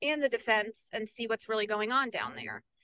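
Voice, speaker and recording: In a dry, close sound with no echo, a woman with an ordinary speaking voice and fairly high pitch talks at a fairly quick pace with fairly even intonation. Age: 20s. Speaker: peace advocate and nonprofit director. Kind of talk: interview.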